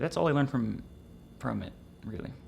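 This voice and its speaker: On a very clean recording with a silent background, a man speaks with fairly even intonation. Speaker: trading educator streamer. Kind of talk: casual live stream chat. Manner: fast.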